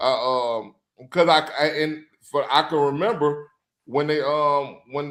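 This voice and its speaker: In a Louisiana accent, a man speaks at a fairly high pitch with ordinary pitch variation. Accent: Louisiana Southern US. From Louisiana, US South. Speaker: sports podcast co-host. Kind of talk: casual chat. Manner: halting.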